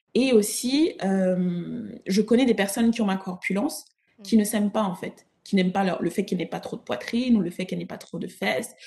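Here a woman speaks at a medium pitch, somewhat breathy. Her tone is dark and mellow. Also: ordinary pitch variation, moderate pace. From Africa. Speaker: image consultant and personal stylist. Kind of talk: interview.

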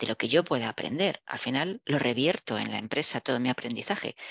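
Against a quiet background, a woman speaks with lively intonation in a dry, close sound with no echo. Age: 60s. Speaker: engineer and business executive. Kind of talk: interview.

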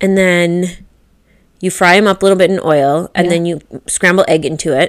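A woman speaks with a Midwestern American accent. Her pace is moderate and her intonation fairly even. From US Midwest. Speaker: podcast co-host. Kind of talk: casual chat.

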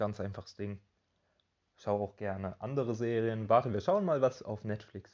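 A man's voice at a moderate pace. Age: 20s. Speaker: podcast host. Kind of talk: casual solo monologue.

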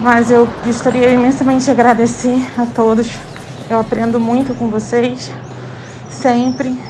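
The speech moves at a fairly slow pace in a monotone, flat intonation with long, frequent pauses, audible room echo and noticeable background noise. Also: woman, high pitch for a woman. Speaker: podcast community member. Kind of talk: casual voice message. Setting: outdoors, walking to school.

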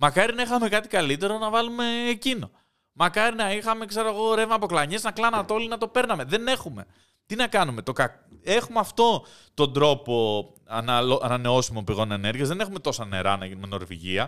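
Over a very clean recording with a silent background, the voice has a bright, sharp tone, swings very widely in pitch and moves at a fairly quick pace. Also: man, high pitch for a man. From Greece. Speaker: podcast host. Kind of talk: casual chat.

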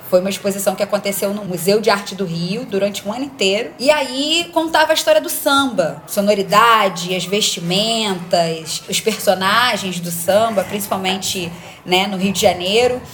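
Over noticeable background noise, a woman with a medium pitch speaks at a moderate pace with lively intonation and hardly any pauses. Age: 30s. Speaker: journalist. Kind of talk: casual chat. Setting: video call.

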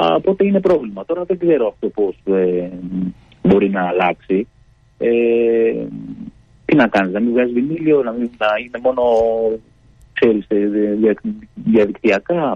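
Using very wide pitch swings, a man talks at a fairly slow pace with long, frequent pauses. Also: medium pitch for a man. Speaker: band member. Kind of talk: radio interview. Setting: phone call.

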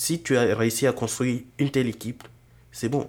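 Fairly even intonation and a fairly slow pace from a male speaker. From Burkina Faso. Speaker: software engineering student and entrepreneur. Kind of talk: casual interview.

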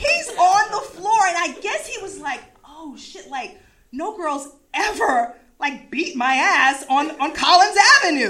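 An animated woman with an American accent speaks slowly-ish at an extremely high pitch, her bright, sharp tone swinging very widely in pitch and greatly in loudness. Room echo can be heard around her voice. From US East Coast. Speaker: storyteller. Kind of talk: live storytelling.

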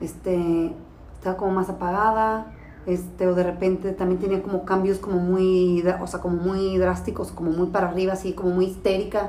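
A woman speaks at medium pitch with monotone, flat intonation and a moderate pace. Noticeable background noise and audible room echo fill the recording. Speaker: podcast co-host, mother of diabetic child. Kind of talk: casual chat.

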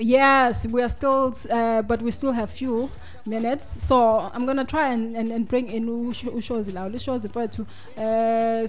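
Here is a woman with a fairly high pitch and fairly even intonation. It is an unremarkable speaking voice. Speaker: radio host. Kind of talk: casual radio chat.

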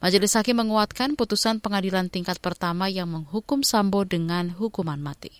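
On a very clean recording with a silent background, a woman with an ordinary speaking voice talks at a fairly quick pace, with a medium pitch and ordinary pitch variation, in a dry, close sound with no echo. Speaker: news anchor. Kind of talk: news reading, bulletin anchor reading with a steady, formal newsreader delivery. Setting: studio. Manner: formal, even-paced, clear and measured.

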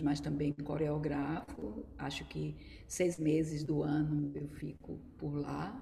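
A woman's very deep, low pitch at a very slow pace. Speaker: dance teacher and choreographer. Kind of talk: casual online chat. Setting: video call live.

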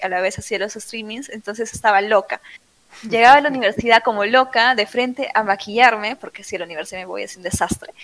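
A woman's unremarkable speaking voice, fairly high in pitch, with ordinary pitch variation. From Peru, Trujillo. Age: 20s. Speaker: streamer. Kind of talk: interview.

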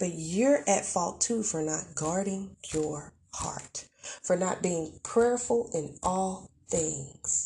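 A very slow woman's voice, somewhat breathy, with a dark, mellow tone. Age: 40s. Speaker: podcast host. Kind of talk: casual monologue. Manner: animated.

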